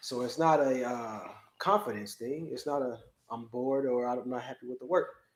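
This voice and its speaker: In an American accent, a man with an unremarkable speaking voice talks at a moderate pace and medium pitch, with ordinary pitch variation. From US Midwest, Chicago. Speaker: business owner. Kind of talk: casual chat.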